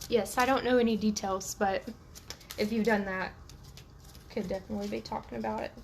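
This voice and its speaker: Talking at a fairly quick pace, a woman leaves long, frequent pauses against noticeable background noise. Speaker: tarot reader. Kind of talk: live stream tarot reading. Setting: live video stream.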